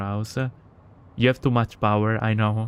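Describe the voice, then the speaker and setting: A man talks with an Italian accent. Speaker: gaming streamer. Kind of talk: reading aloud; casual chat. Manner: halting.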